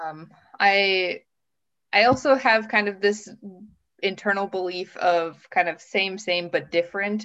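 A woman's bright, sharp voice at a medium pitch, with ordinary pitch variation, an Upper Midwest accent, a fairly slow pace and long, frequent pauses. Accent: Upper Midwest American. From US Midwest, Minnesota. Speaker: master's student, former English teacher. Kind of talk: casual interview.

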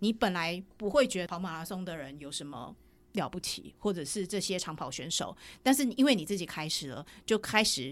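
Pitch swings very widely as a woman with a Taiwanese accent speaks at a moderate pace. Her loudness varies greatly, and the recording is very clean with a silent background. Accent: Taiwanese Mandarin. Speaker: running cafe founder, entrepreneur. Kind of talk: casual interview chat.

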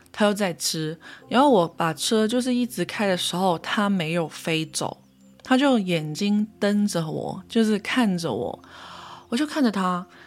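A woman's medium-pitched voice with a Cantonese accent, lively intonation and a fairly slow pace. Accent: Cantonese-accented Mandarin. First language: Cantonese (speaking Chinese). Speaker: podcast host, spiritual practitioner. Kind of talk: casual solo monologue.

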